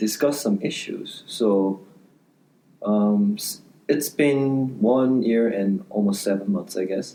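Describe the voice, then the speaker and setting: This man's voice sits fairly low, and his pitch varies in an ordinary way. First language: not English. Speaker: law student podcast co-host. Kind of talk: casual chat.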